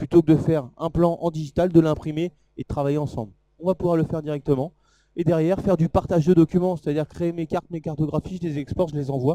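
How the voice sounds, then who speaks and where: A man with a fairly high pitch and a dark, mellow tone talks at a very fast pace, the sound dry and close with no echo. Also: fairly even intonation. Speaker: product presenter at trade show. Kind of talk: live product demo talk.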